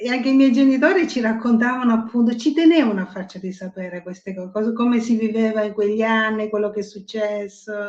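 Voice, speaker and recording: Talking very fast with hardly any pauses, a woman with a fairly high pitch shows ordinary pitch variation and big swings in loudness over noticeable background noise. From Sicily, Ragusa. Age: 70s. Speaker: writer. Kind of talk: casual chat. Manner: engaging rhythmic cadence when reading.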